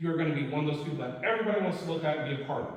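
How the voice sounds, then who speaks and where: Very fast talk in an American accent, lively intonation, audible room echo and noticeable background noise. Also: man. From Oklahoma. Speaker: war veteran, workshop presenter. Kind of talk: presentation. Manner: loud.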